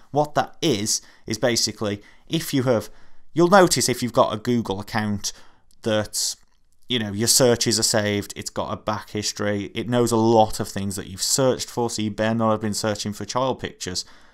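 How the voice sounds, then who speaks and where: On a very clean recording against a silent background, the pitch varies in an ordinary way. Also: man, medium pitch for a man. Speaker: youtuber. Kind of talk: webcam commentary. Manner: fast; animated.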